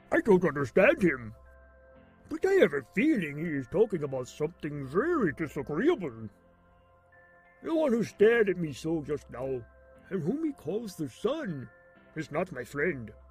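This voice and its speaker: A man does a cartoonish character voice at a high pitch, with very wide pitch swings, a moderate pace, long and frequent pauses, and faint music in the background. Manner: wondering, naive.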